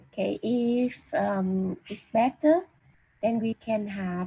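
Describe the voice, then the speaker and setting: The woman speaks very slowly. Her tone is dark and mellow, with some breathiness. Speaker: university lecturer. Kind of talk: online lecture. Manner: halting, many fillers.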